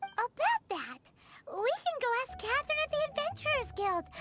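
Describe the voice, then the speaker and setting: An extremely high, squeaky put-on character voice moves at a moderate pace. Music plays in the background. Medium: video game. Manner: calm, practical.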